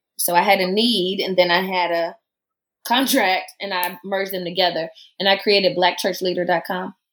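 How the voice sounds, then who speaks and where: On a very clean recording with a silent background, a woman with a Southern US accent speaks at a fairly quick pace with fairly even intonation. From US South. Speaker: preacher and church researcher. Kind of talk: casual interview.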